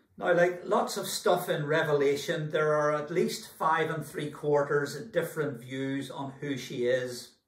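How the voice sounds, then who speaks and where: Pacing himself fairly slowly, a man talks with hardly any pauses and ordinary pitch variation. Audible room echo surrounds his voice. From Scotland. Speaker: church minister. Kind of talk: sermon preaching. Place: home room. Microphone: camera far.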